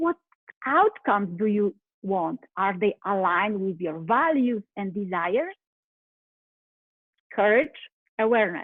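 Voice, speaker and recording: Lively intonation marks this speaker's Polish accent, delivered at a fairly slow pace with long, frequent pauses. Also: woman, medium pitch for a woman. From Poland. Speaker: life coach. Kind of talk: motivational talk.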